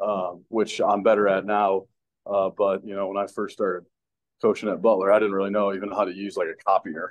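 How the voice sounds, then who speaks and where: In an American accent, a man speaks fairly quickly with a fairly low, monotone, flat delivery. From Chicago suburbs, Illinois. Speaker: college football assistant coach. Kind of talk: interview.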